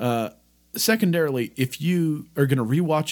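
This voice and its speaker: A man speaks loudly. His pitch swings very widely. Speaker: podcast co-host. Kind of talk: casual chat.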